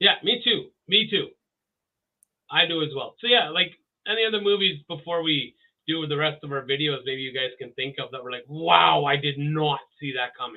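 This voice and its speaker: A man with an ordinary speaking voice and a Canadian accent, with lively intonation, big swings in loudness, and a moderate pace. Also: fairly high pitch for a man. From Canada. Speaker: podcast co-host. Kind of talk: casual chat. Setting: live stream with audience.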